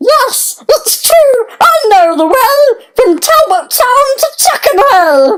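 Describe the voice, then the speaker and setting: This put-on character voice is squeaky and extremely high. It moves at a very slow pace. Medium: read story. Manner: cheery, bubbly.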